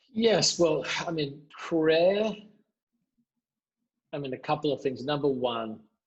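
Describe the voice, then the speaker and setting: Long, frequent pauses break up the very slow speech of a man in an Australian accent, his fairly high voice carrying lively intonation. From Adelaide, Australia. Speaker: pastor. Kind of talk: interview answer.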